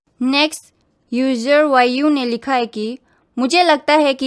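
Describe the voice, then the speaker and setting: A woman with a strong Northeast Indian accent speaks at a high pitch with ordinary pitch variation. The recording is very clean, with a silent background. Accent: strong North-Eastern accent in Hindi. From Northeast India, Bodo. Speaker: YouTuber, reaction video host. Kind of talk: reading comments with commentary.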